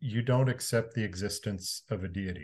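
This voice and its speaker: The voice is somewhat breathy, with ordinary pitch variation, against a quiet background. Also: man. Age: 50s. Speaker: podcast guest, former religious adherent. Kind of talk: interview, personal testimony.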